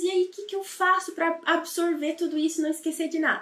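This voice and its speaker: Her pitch is extremely high. The woman talks at a moderate pace with fairly even intonation. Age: 30s. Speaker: language teacher. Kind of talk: lesson.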